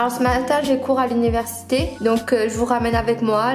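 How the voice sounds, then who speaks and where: Amid audible room echo and clear music in the background, a woman with a fairly high pitch speaks at a moderate pace in a monotone, flat intonation. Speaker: university student. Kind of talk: casual vlog talk to camera. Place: home room.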